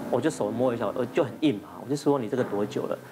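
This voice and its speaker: A very fast man's voice in a Taiwanese accent, with ordinary pitch variation over noticeable background noise. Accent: Taiwanese Mandarin. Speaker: physician on TV panel. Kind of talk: TV talk show discussion. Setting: TV studio. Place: studio. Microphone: lapel.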